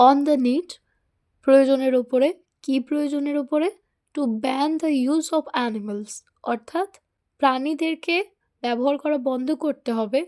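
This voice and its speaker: A woman's high-pitched voice with a dark, mellow tone, ordinary pitch variation and a dry, close sound free of echo. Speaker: English teacher. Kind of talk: online lesson.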